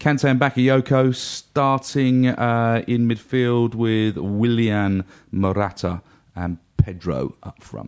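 Using an ordinary speaking voice, a man talks at medium pitch with fairly even intonation. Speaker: football fan pundit. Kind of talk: casual chat.

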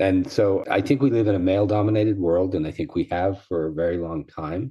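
A man speaks at a fairly quick pace with fairly even intonation. His pitch is low.

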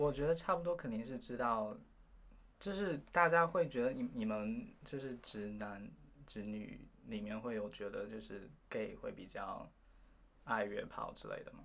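A man's medium-pitched voice at a fairly slow pace, with very wide pitch swings and big swings in loudness. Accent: slight Taiwanese. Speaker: university student. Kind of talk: interview.

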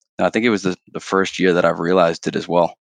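In a normal speaking voice, a man with a Canadian accent talks at a fairly quick pace, with a fairly low pitch and ordinary pitch variation, in a dry, close recording with no echo and a quiet background. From Canada. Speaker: sales director. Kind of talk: casual interview chat.

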